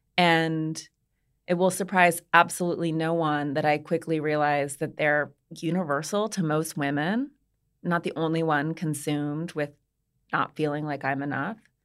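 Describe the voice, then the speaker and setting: A woman with an American accent has a very deep, low voice and fairly even intonation. The recording is very clean, with a silent background. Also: moderate pace. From US, Montana. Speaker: author and podcast host. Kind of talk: interview.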